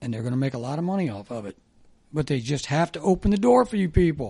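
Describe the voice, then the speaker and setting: With a Midwestern American accent, a man speaks in a dark, mellow tone with very wide pitch swings. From US Midwest (Dayton, Ohio). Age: 60s. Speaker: former sports radio host. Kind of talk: casual chat.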